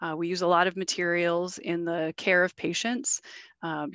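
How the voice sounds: In a dry, close recording with no echo, a woman talks with a fairly low pitch and a fairly bright tone.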